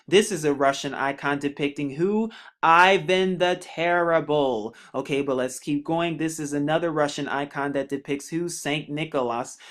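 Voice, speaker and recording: This man has an ordinary speaking voice at a fairly high pitch, with ordinary pitch variation. He keeps a moderate pace on a very clean recording with a silent background. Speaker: religious video narrator. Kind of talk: narrated slideshow commentary.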